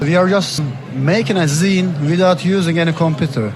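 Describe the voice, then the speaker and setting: A man with a Turkish accent talks at a moderate pace with a high pitch, ordinary pitch variation and very even loudness. Audible room echo and noticeable background noise surround his voice. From Istanbul, Turkey. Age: 30s. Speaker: artist, zine publisher and curator. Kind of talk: interview. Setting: art book fair. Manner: slightly halting.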